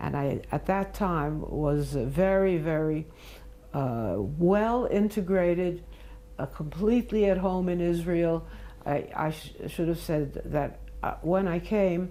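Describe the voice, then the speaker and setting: In a New York accent, the speaker talks at a very slow pace in a dark, mellow tone with ordinary pitch variation, amid audible room echo. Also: woman. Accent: American English, New York. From US Northeast, Brooklyn New York, childhood years in Mandatory Palestine. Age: 90s. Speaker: interviewee recounting life history. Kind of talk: oral history interview. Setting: at home, filmed interview. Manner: halting, frequent fillers.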